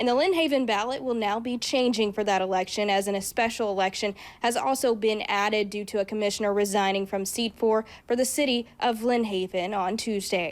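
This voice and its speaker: A woman speaks fairly quickly in an ordinary speaking voice, fairly high in pitch with ordinary pitch variation. The recording is very clean with a silent background. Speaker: TV news reporter and anchor. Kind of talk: TV news reporting.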